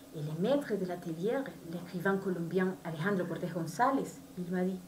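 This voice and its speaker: With a Spanish accent, a woman speaks at a medium pitch with ordinary variation, over noticeable background noise and audible room echo. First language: Spanish (speaking French). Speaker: novelist. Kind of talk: book presentation. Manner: halting.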